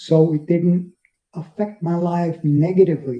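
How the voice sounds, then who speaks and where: The voice has a dark, mellow tone and a New York accent, moving at a fairly slow pace. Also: man. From New York City (Bronx, Brooklyn). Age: 70s. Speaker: interviewee living with multiple sclerosis. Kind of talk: interview. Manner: halting, with fillers and repetitions.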